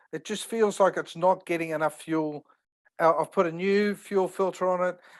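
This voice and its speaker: Speech comes at a fairly slow pace with an Australian accent. The recording is very clean, with a silent background. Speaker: caller with car question. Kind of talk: casual Q&A. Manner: halting.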